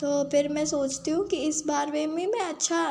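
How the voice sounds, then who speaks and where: Over noticeable background noise, a woman speaks with a high pitch and fairly even intonation. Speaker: gaming streamer. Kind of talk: gameplay commentary. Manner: casual, chatty.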